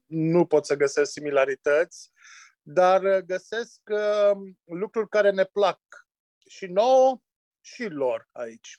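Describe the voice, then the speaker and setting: The speech is very slow, with long, frequent pauses and lively intonation. It sounds dry and close, with no echo. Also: man, high pitch for a man, quiet background. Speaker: winemaker. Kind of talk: interview. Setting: remote call.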